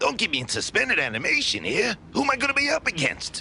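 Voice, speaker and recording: A man's cartoonish character voice at a very fast pace, with clear background noise. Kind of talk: hard-boiled voice-over.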